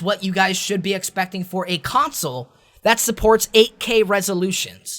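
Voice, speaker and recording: In a very clean recording with a silent background, a man speaks in a high voice at a fairly quick pace, with an animated tone and ordinary pitch variation. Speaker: tech youtuber. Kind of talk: tech commentary video. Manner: fast.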